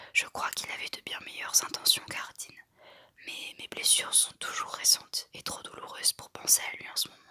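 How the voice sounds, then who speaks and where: A woman whispers at a moderate pace. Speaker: ASMR artist. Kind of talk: whispered audiobook-style reading of a novel. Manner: whispered, soft-spoken.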